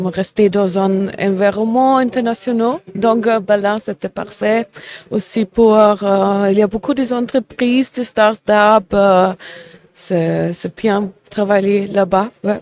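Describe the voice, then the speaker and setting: In a German accent, a woman with a medium pitch speaks at a very slow pace with fairly even intonation, the sound dry and close with no echo. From Germany, Bavaria (Ulm). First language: German (speaking French). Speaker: business development manager. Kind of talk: casual interview. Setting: trade fair. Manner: halting.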